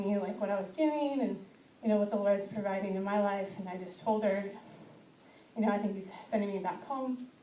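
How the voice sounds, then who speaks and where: With audible room echo and noticeable background noise, a woman talks at a fairly quick pace in a medium pitch. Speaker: testimony speaker. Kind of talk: testimony. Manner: halting.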